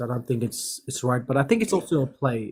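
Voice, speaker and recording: A man with a somewhat breathy voice. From Fiji, New Zealand and Australia. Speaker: caller. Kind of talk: casual chat. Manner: halting.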